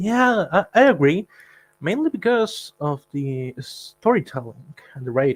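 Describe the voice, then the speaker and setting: A man with a non-native accent talks in a high pitch with very wide pitch swings, at a fairly slow pace. The sound is dry and close, with no echo. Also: big swings in loudness. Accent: non-native English, self-described. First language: not English. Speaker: guest fan. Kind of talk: casual chat.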